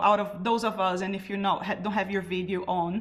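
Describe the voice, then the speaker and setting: A woman speaks with a Brazilian accent. Her voice sits at a medium pitch and is somewhat breathy. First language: Portuguese. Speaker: carnival artist and drummer. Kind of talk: panel talk.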